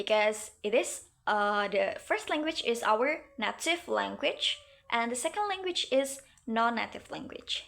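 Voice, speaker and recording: Using a raised, projected voice, a woman with a West Javanese accent speaks in a bright, sharp tone with very wide pitch swings. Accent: Indonesian (Sundanese). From Indonesia (West Java, Sundanese). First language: Sundanese. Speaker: university student. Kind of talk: class presentation. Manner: halting, many fillers.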